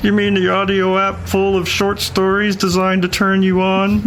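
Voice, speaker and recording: A man puts on a character voice pitched high. Background noise is clearly audible. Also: moderate pace. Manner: imitating, playful, ad-like.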